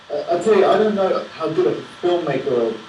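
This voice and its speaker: Someone speaks with an English accent amid noticeable background noise. Room echo is audible. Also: man. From England. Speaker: film director. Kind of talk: Q&A after a film screening. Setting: Skype video call from New York. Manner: hesitant, many repetitions. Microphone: low quality Skype sound.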